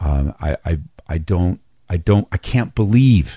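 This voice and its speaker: A man's very deep, low voice, dark and mellow, somewhat breathy, with ordinary pitch variation. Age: 40s. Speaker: pastor. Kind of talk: interview.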